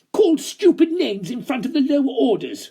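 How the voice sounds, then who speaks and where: A man does a put-on character voice at an extremely high pitch. It sounds shrill and moves at a fairly quick pace. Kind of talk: comic melodrama villain. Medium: read story. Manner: shrill, frothing.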